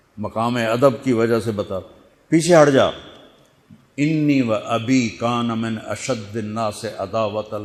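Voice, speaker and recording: A man's ordinary speaking voice, an ordinary speaking voice at medium pitch with ordinary pitch variation. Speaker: Islamic preacher. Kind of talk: Islamic sermon storytelling.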